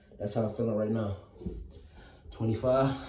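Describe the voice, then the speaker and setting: The man talks at a fairly quick pace with fairly even intonation. Audible room echo surrounds his voice. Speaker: fitness vlogger. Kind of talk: casual workout vlog chat. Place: home room. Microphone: phone near.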